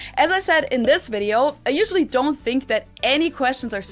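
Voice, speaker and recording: A woman with a German accent speaks at a moderate pace, her high pitch making very wide swings. Music plays in the background. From Germany, Munich. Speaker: YouTuber. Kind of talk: vlog talk to camera.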